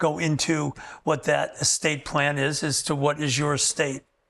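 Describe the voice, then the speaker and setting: This man speaks at a fairly slow pace. His pitch is fairly high. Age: 60s. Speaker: wealth management advisor. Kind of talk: interview. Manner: halting.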